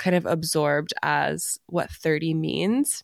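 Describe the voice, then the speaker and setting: This woman has a very deep, low pitch, recorded with a dry, close sound and no echo. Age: 30s. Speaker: podcast co-host. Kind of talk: casual chat.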